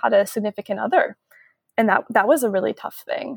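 In a plain, everyday voice with an American accent, a woman speaks at a moderate pace and fairly high pitch, the sound dry and close with no echo. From US Pacific Northwest, Seattle suburb. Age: 30s. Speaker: traveler on an adult gap year, former corporate employee. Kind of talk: interview conversation. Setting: remote call, early morning.

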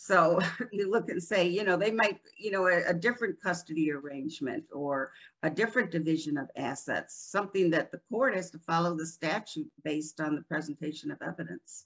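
Talking at a fairly quick pace, a woman with a plain, everyday voice and an American accent uses a fairly low pitch and ordinary pitch variation. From upstate New York, Rochester. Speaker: divorce and family law attorney. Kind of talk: interview.

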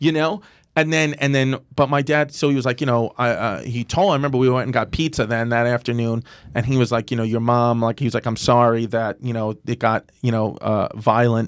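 A man speaks at a medium pitch and a fairly quick pace with an American accent and ordinary pitch variation, in an unremarkable speaking voice. The recording is very clean, with a silent background. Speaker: comedian. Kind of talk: casual chat. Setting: studio.

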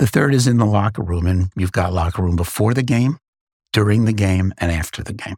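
Recorded with a dry, close sound and no echo, a man with an American accent and a fairly low pitch speaks somewhat breathily at a fairly quick pace, with ordinary pitch variation. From New York City, Queens. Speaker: podcast host, former CEO. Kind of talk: interview; reading listener mail aloud.

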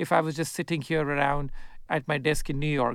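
Talking at a very fast pace, a man is heard on a very clean recording with a silent background. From India. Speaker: investor and author. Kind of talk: interview.

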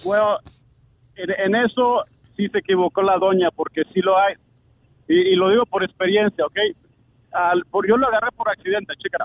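This man's voice sits high in pitch and moves at a moderate pace. He leaves long, frequent pauses. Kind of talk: casual chat. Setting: phone call. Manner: code-switching Spanish and English.

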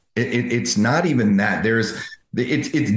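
A man's voice is heard with audible echo from the room. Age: 50s. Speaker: dental coach, former dentist. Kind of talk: interview. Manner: halting.

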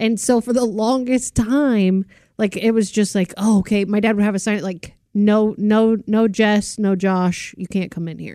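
At a fairly slow pace, a woman talks in a medium pitch with a normal speaking voice. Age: 40s. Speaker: podcast co-host. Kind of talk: casual chat.

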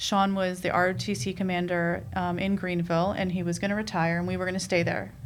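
A woman with an American accent speaks fairly low and fairly quickly with hardly any pauses and fairly even intonation, her voice carrying audible room echo. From New York, Queens. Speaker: dance mom, reality TV cast member. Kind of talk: casual chat.

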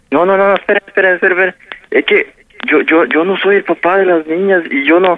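At a fairly quick pace, a man with a high pitch speaks with fairly even intonation and very even loudness. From Mexico, Puebla. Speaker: prank call victim. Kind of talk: phone conversation. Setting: phone call.

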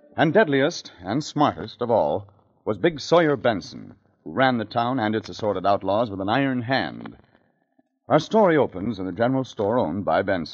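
A medium-pitched man's voice with lively intonation and vocal fry, at a moderate pace. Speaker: radio drama announcer narrator. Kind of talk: 1950s old-time radio announcer narration.

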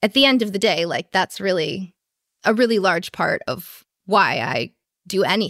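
A woman with a plain, everyday voice speaks at a fairly slow pace with ordinary pitch variation, in a dry, close sound with no echo on a very clean recording with a silent background. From US Midwest, Chicago. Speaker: small business owner, designer and illustrator. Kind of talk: interview.

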